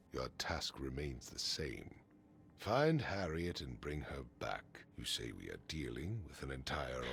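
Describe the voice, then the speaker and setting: Putting on a character voice with a very deep, low pitch, a man speaks with lively intonation over clear background noise. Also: fairly slow pace. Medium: video game. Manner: stiff, formal.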